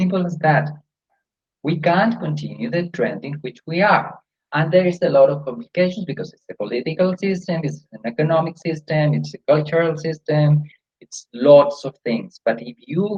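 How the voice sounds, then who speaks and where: Fairly high in pitch, a man speaks with ordinary pitch variation. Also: moderate pace. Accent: Spanish. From Colombia. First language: Spanish. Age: 60s. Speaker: yoga teacher. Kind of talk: interview conversation.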